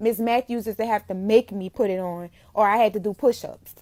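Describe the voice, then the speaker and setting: A woman with a New Orleans accent, animated and fairly quick, in a dry, close sound with no echo on a very clean recording with a silent background. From New Orleans, Louisiana. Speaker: makeup entrepreneur. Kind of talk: casual live-stream talk.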